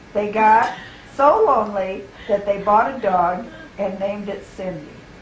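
With fairly even intonation, a woman speaks at a moderate pace. Audible room echo and light background noise are present. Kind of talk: reading a story aloud. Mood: amused, playful. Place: home room. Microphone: old recording.

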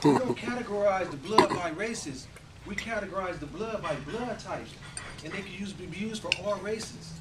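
The man's pace is moderate. Behind his voice, background noise is loud. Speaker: motivational speaker. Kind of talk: Toastmasters club speech, storytelling. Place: hall. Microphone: camera far.

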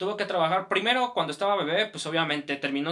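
Over a quiet background, a man speaks with a Mexican accent. His pitch is high and his intonation lively. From Mexico. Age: 20s. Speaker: YouTuber. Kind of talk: personal life story. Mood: reflective, personal. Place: home room.

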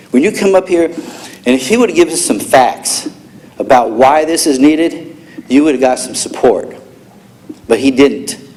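Over noticeable background noise and audible room echo, the speaker's intonation stays lively. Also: man. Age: 60s. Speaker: public commenter at council meeting. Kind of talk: public comment. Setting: city council chamber. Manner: angry, confrontational.

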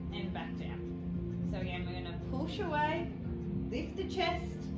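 Fairly slow speech over loud background music. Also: woman. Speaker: pilates instructor. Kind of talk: exercise class instruction. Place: gym. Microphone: camera far.

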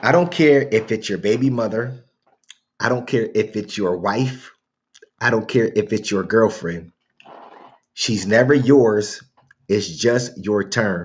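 A man talks at a fairly slow pace with ordinary pitch variation and long, frequent pauses. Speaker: reaction channel host. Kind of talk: casual commentary. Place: home room. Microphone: webcam.

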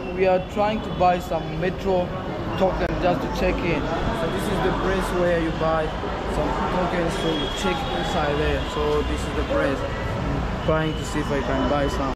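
Loud background noise accompanies a man speaking at a fairly slow pace. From South Africa. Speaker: travel vlogger. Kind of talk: travel vlog narration. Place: station. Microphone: phone near.

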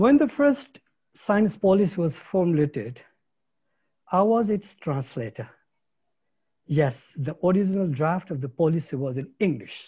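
A man's high-pitched voice with a Nepali accent, a dark, mellow tone and very wide pitch swings, at a fairly slow pace with long, frequent pauses over a quiet background. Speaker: ecologist, science policy academic. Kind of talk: keynote lecture. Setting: video call.

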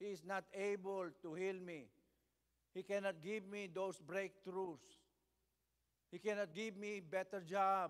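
In a quiet background, a high-pitched man talks at a fairly slow pace with fairly even intonation and long, frequent pauses. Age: 70s. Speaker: bishop and preacher; bishop, preacher. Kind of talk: sermon. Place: church. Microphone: podium.

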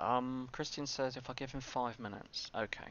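A man is speaking over light background noise. The sound is dry with no echo. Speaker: game streamer. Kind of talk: casual livestream chat. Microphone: headset.

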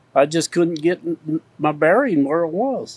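In a dry sound with no echo, a man speaks at a fairly slow pace in a high pitch with very wide pitch swings. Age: 80s+. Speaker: O-Mok-See rider. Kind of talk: interview answer. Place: open country.

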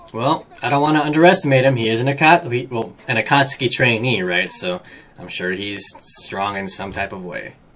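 Talking at a fairly quick pace, the man shows big swings in loudness. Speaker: anime reaction video host. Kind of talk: casual reaction commentary. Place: home room.

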